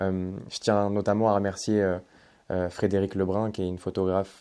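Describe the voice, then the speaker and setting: A man's dark, mellow, fairly low voice at a fairly slow pace on a very clean recording with a silent background. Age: 20s. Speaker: aspiring journalist and YouTuber. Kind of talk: storytelling narration.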